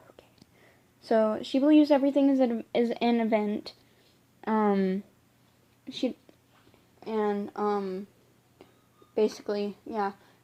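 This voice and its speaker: A woman talks at a fairly slow pace with a fairly high pitch, ordinary pitch variation, and big swings in loudness. Long, frequent pauses break up her speech while music plays in the background. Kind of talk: casual book review to camera. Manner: hesitant, many fillers and stumbles.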